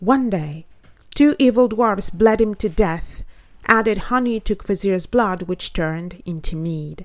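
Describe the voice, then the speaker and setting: A woman with a normal speaking voice talks at a fairly slow pace and medium pitch with lively intonation. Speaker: poet and podcast host. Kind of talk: reading aloud of her own essay, retelling a Norse myth in literary prose. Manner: measured, storytelling cadence; earnest, reflective, slightly lecturing.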